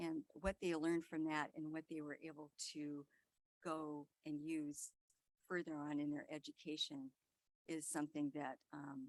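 In a very clean recording with a silent background and a dry, close sound with no echo, a soft-spoken woman speaks in a very deep, low pitch with monotone, flat intonation. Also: fairly slow pace. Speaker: school board member. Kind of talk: board meeting report. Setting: public board meeting.

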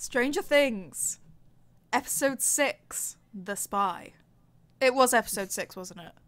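A woman with a British accent and a fairly high voice talks at a very slow pace, with long, frequent pauses and big swings in loudness. The recording is very clean, with a silent background. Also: lively intonation. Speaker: podcast co-host. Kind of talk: casual chat.

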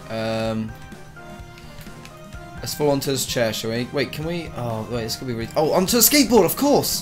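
Music plays in the background. A man with a medium-pitched voice speaks at a moderate pace, with long, frequent pauses. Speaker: gamer. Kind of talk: gameplay commentary.

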